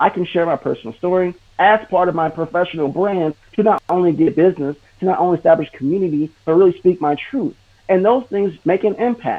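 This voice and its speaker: A man talks at a fairly quick pace in a high pitch with ordinary pitch variation. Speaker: digital marketer. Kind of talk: live stream interview. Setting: live stream. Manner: fast; animated.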